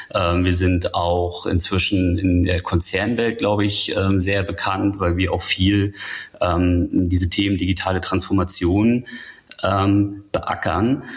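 Against noticeable background noise, a man speaks very slowly in a very deep, low pitch with monotone, flat intonation. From northern Germany. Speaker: tech journalist. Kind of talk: interview.

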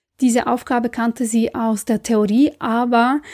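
Somewhat breathy and dark, mellow in tone, a woman with a non-native accent speaks at a fairly slow pace in a fairly high pitch with fairly even intonation, the sound dry and close with no echo. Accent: foreign accent in German. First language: not German (speaking German). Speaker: creativity and career coach. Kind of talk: motivational podcast monologue.

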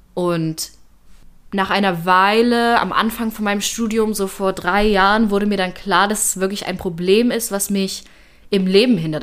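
A woman's ordinary speaking voice at medium pitch, with fairly even intonation and a moderate pace. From Germany, Leipzig. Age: 20s. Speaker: university student. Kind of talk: personal testimony.

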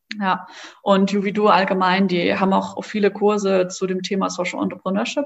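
Woman at medium pitch, moderate pace and ordinary pitch variation. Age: 20s. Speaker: social entrepreneur, co-founder of a card game startup. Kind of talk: interview. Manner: hesitant, many filler words.

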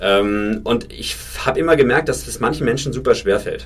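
Music plays in the background. A man talks over it at a moderate pace. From Franconia, Germany. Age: 30s. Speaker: startup founder. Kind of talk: interview.

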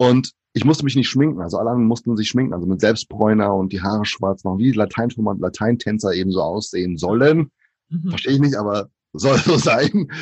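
A man with a fairly low pitch talks at a very fast pace, his intonation lively. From Brazil, moved to Germany at five. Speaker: author and diversity speaker. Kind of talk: casual interview.

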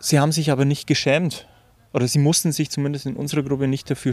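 A man is speaking. His pace is very fast. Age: 30s. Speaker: recovered drug user and club chairman. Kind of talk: interview.

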